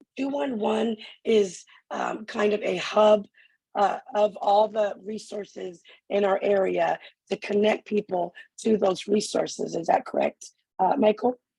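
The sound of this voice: In a raspy, hoarse put-on character voice at medium pitch, a woman talks at a fairly slow pace.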